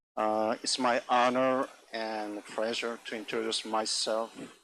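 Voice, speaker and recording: A man at a medium pitch with a non-native accent, speaking at a fairly slow pace. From South Korea. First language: Korean. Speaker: agricultural scientist. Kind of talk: conference talk. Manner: halting.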